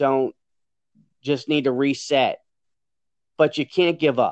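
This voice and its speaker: A Louisiana accent at a moderate pace, flat and monotone in intonation, with a dry, close sound and no echo. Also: man. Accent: Southern US (Louisiana). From Louisiana, US South. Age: 40s. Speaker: jockey and racehorse trainer. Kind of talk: interview.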